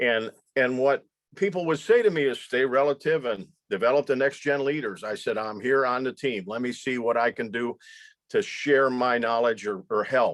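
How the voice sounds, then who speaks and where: This man's voice sits at a medium pitch with ordinary pitch variation. He talks at a moderate pace. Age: 60s. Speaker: leadership instructor and former business executive. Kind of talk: online presentation to students. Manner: halting, with repetitions.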